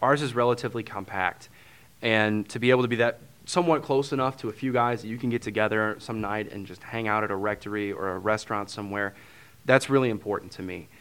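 Speaking very fast in a St. Louis accent, a man with a fairly low pitch shows ordinary pitch variation and big swings in loudness. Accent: St. Louis Midwestern American. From St. Louis, Missouri. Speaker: transitional deacon. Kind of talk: interview conversation.

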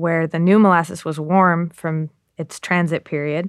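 A woman with an American accent speaks in a plain, everyday voice at a moderate pace, with fairly low pitch and fairly even intonation, in a dry, close sound with no echo. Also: very clean recording, silent background. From Massachusetts. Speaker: journalist. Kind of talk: interview.

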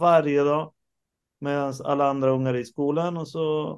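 A man with an ordinary speaking voice, a fairly slow pace and fairly even intonation. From Uruguay and Stockholm, Sweden. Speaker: rock drummer. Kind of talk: interview. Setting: video call.

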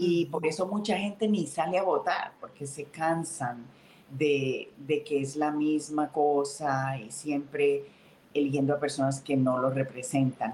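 A woman talks at a fairly slow pace in a very deep, low voice. Her tone is dark and mellow, with ordinary pitch variation. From Colombia, Santander (Bucaramanga). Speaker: state senator, politician. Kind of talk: interview.

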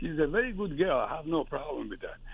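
In a Persian accent, a woman speaks at a very deep, low pitch with very wide pitch swings. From Iran. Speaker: caller. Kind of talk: advice call.

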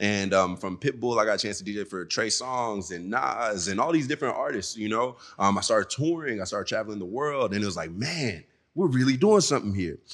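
Using a normal speaking voice, a man talks at a fairly quick pace with lively intonation, a fairly low pitch, and an American accent. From Nigeria (Lagos), then Dallas, Texas. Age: young. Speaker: DJ and festival organizer. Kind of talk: interview. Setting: studio.

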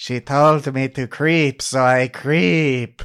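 A put-on character voice delivered at a very slow pace. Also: man, medium pitch for a man. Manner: creepy, obsessive.

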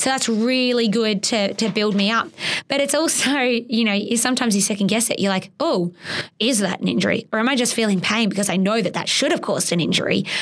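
With an Australian accent, the speaker moves at a fairly quick pace, keeping loudness very even and pitch ordinarily varied over noticeable background noise. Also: woman, fairly high pitch for a woman. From Australia, Geelong, Victoria. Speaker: competitive water skier. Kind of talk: interview. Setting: studio.

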